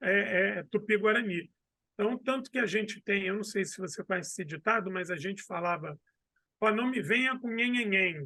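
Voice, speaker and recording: A man with a Rio de Janeiro accent, high pitch, bright, sharp tone, raised, projected voice, moderate pace and ordinary pitch variation. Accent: Carioca. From Brazil, Rio de Janeiro. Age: 40s. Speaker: history professor and historian. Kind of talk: casual interview.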